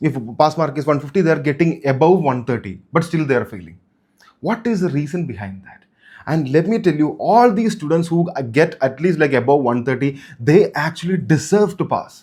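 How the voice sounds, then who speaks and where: A man with vocal fry and a fairly high pitch speaks on a very clean recording with a silent background. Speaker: chartered accountant and exam coach YouTuber. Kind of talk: motivational exam advice talk. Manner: fast; unscripted, repetitive.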